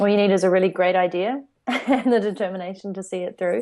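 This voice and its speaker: A woman with a New Zealand accent. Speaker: entrepreneur. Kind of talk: interview.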